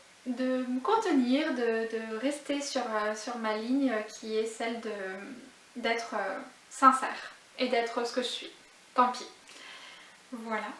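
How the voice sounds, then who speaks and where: Amid noticeable background noise and audible room echo, a woman with a high pitch talks at a very slow pace, pausing long and often. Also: fairly even intonation. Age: 30s. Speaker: knitting vlogger. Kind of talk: casual vlog monologue. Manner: hesitant, many filler sounds.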